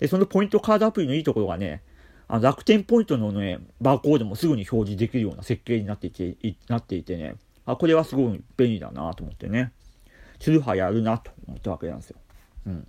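At a very fast pace, a man with a medium pitch and a dark, mellow tone speaks with vocal fry, very wide pitch swings and big swings in loudness, in a dry, close sound with no echo on a very clean recording with a silent background. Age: 40s. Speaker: care worker and podcaster. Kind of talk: solo talk. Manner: calm.

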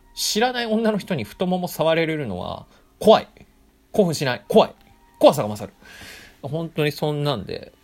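An animated, high-pitched male voice with very wide pitch swings, big jumps in loudness, and long, frequent pauses, set against music in the background. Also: moderate pace. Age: 20s. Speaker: podcaster and office worker. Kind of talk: casual solo storytelling.

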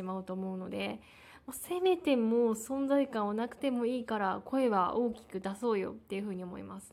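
Mumbling at a moderate pace, a woman speaks with a fairly high pitch and lively intonation. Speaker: podcaster. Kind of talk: personal monologue. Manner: halting, many fillers; mumbled articulation.

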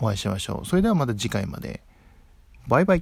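A man's relaxed tone with very wide pitch swings, in a dry, close sound with no echo. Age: 20s. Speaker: podcaster. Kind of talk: solo casual talk. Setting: at home.

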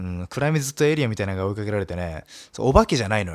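Lively intonation marks a man's fairly low-pitched, very fast speech on a very clean recording with a silent background. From Nagasaki, Japan. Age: 20s. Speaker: solo radio talker, comedian. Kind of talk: solo talk, casual monologue. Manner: casual, chatty, laughs often.

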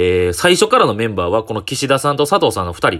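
With a Kyoto accent, a man talks at a very fast pace in a medium pitch and a bright, sharp tone, his pitch swinging very widely, on a very clean recording with a silent background. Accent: Kansai (Kyoto) Japanese. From Japan, Kyoto (Shijo-Omiya). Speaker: comedian. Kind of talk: solo talk podcast monologue. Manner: casual, many filler pauses.

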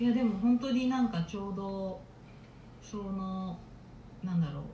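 Amid audible room echo, a woman with a medium pitch speaks at a fairly slow pace, leaving long, frequent pauses, with ordinary pitch variation. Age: 20s. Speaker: podcast co-host. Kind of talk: casual chat.

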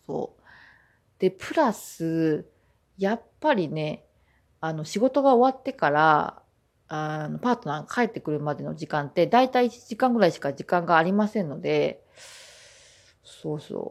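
A woman at a fairly low pitch, with very wide pitch swings, big swings in loudness, a moderate pace and long, frequent pauses. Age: 20s. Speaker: podcast host. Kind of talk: casual monologue.

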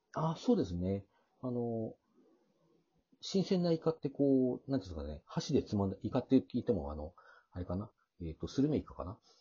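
Somewhat breathy and fairly quick, the voice makes very wide pitch swings and big swings in loudness, broken by long, frequent pauses. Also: man, medium pitch for a man. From Hokkaido, Hakodate. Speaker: podcaster. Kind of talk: casual chat.

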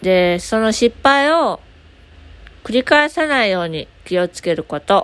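At a fairly slow pace, a woman with a fairly high pitch makes very wide pitch swings and big swings in loudness. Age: 20s. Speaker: podcaster; aspiring support worker. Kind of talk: casual solo talk.

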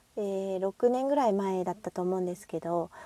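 A woman's dark, mellow voice sounds dry and close, with no echo. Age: 40s. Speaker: single-mother podcaster. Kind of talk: casual monologue.

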